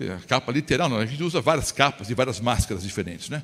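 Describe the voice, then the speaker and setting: This man's voice has a bright, sharp tone. He moves along at a fairly quick pace. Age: 60s. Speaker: pastor. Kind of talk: sermon. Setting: church. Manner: conversational, rhetorical questions.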